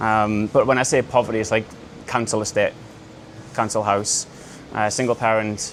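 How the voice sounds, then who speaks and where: Music plays in the background as a man speaks at a fairly quick pace. His medium-pitched voice has monotone, flat intonation. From northeast England, Newcastle. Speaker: e-commerce entrepreneur, speaker. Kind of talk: talk to a live audience.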